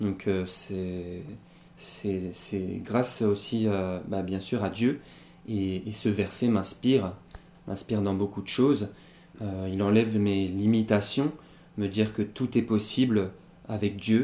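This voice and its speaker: A man speaks at a very slow pace with long, frequent pauses. His fairly low voice has a dark, mellow tone and fairly even intonation. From Pyrénées-Orientales, southern France. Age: 20s. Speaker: rapper. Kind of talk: interview. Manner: halting, many fillers and repetitions.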